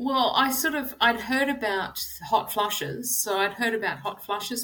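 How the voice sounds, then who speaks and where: A woman's bright, sharp voice in an Australian accent, at a fairly slow pace. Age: 50s. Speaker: personal trainer. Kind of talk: interview.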